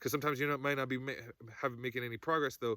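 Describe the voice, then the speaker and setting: A man's bright, sharp voice holds a fairly even intonation. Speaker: spiritual coach. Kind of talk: spiritual monologue. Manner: fast; halting, many restarts.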